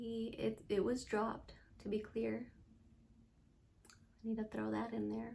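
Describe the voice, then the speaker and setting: Fairly slow speech with long, frequent pauses carries audible room echo. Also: woman. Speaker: vlogger sharing survivor story. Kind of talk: personal testimony vlog. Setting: home, late at night.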